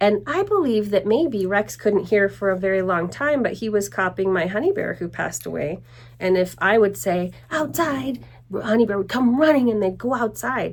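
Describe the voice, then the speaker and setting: A woman at a medium pitch speaks with lively intonation and vocal fry. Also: moderate pace. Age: 60s. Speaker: vlogger and dog owner. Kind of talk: casual vlog talk. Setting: at home.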